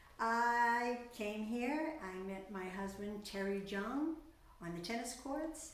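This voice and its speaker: With a Boston accent, a woman talks at a very slow pace amid noticeable background noise and audible room echo. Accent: Boston South Shore. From Massachusetts South Shore (Quincy). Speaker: retired singer, community resident. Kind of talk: interview.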